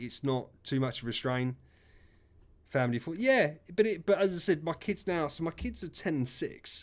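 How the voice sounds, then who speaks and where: A man with an English accent speaks with lively intonation. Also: very clean recording, silent background. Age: 30s. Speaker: gaming streamer. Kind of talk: casual chat. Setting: live stream.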